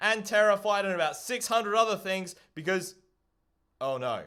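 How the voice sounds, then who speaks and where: Loud and animated, a man speaks in a high pitch. His tone is bright and sharp. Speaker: streamer and hobby robot builder. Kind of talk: live stream commentary. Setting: live stream.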